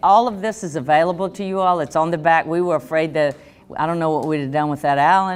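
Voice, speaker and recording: A woman speaks with a strong Southern US accent. Her pitch is fairly low, with ordinary pitch variation. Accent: thick Southern US. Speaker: economic development official. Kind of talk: workshop presentation.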